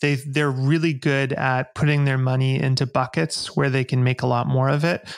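At a fairly quick pace, a man speaks with monotone, flat intonation. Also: quiet background. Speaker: podcast guest. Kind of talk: interview answer. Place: home room. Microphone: studio mic.

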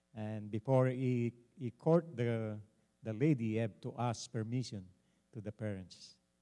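A man with a Filipino accent speaks in a dark, mellow tone against a quiet background. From Philippines. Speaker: pastor and panelist; pastor, panelist. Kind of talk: panel discussion. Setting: church. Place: church. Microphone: handheld.

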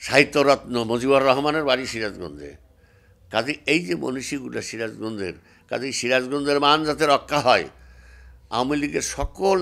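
A man speaks with lively intonation and vocal fry. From Bangladesh. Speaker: former member of parliament, politician. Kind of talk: interview monologue, political speech. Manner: halting, many pauses. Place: office. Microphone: handheld.

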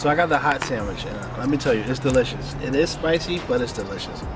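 Clear music plays behind a man who talks at a very fast pace with ordinary pitch variation, the sound dry with no echo. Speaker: food vlogger. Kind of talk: casual food review chat. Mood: amused, feeling the spice. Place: street.

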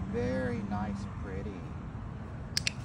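The sound is dry, with no echo. Loud background noise is present. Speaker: dog trainer. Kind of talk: dog training commands. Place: open country. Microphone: phone near.

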